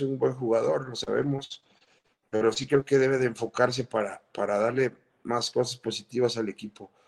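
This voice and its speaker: A man uses a normal speaking voice with a medium pitch. He keeps a moderate pace and fairly even intonation. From Guadalajara, Mexico (born Mexico City). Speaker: retired footballer. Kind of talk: interview.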